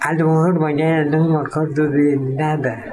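A man speaks at a very slow pace and a fairly high pitch. Audible room echo and noticeable background noise surround him. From Mexico, Yucatán (Mérida). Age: 90s. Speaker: painter. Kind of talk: interview.

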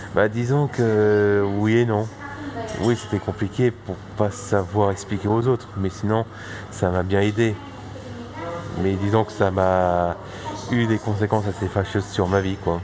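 Delivered at a very slow pace with long, frequent pauses, the voice stays monotone and flat against noticeable background noise. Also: man, fairly low pitch for a man. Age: 20s. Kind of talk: casual interview. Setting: bistro. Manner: halting.

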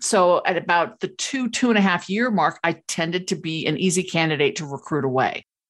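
A woman with an unremarkable speaking voice talks at a medium pitch and a moderate pace. Her intonation is lively, and the background is quiet. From Los Angeles, California. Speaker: keynote speaker and author. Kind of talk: casual interview.

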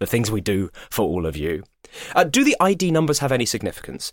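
With vocal fry, a man talks at a very fast pace. His pitch is medium. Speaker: podcast co-host and voice actor. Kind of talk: casual chat.

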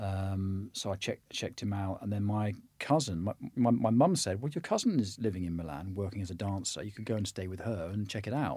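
With a West Country accent, a man speaks at a fairly quick pace in a dark, mellow, fairly low voice with ordinary pitch variation, on a very clean recording with a silent background. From southwest England. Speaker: actor. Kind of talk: interview conversation.

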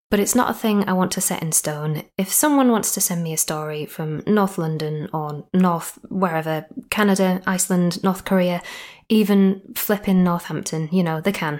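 A woman with a Yorkshire accent and ordinary pitch variation. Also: medium pitch for a woman, moderate pace. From Yorkshire, northern England. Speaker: podcast host and storyteller. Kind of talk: scripted ghost story narration. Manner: playful.

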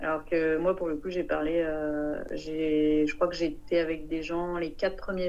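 With a dark, mellow tone and a very deep, low voice, a woman speaks flatly and very slowly with hardly any pauses, amid audible room echo. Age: 30s. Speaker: sailor. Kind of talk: interview.

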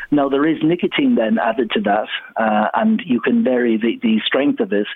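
A man with an Irish accent, fairly high pitch and very wide pitch swings, at a fairly slow pace over noticeable background noise. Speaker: lobby group spokesperson. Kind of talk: radio debate. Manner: animated.

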